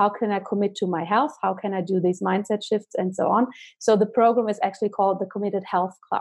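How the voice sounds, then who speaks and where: A woman speaks with a German accent at a very fast pace. Her pitch is medium and her intonation fairly even. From Germany. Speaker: holistic doctor. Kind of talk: interview.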